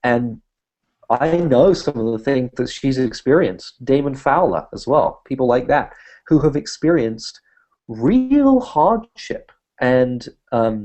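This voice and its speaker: A man with a British accent speaks at a fairly slow pace. His voice sits at a medium pitch with ordinary pitch variation. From Britain. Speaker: humanist activist and speaker. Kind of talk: interview conversation.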